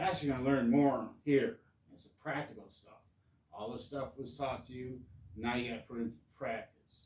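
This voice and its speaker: With fairly even intonation and a medium pitch, a man talks at a fairly quick pace. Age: 60s. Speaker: hobbyist vlogger. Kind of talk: casual monologue. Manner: halting.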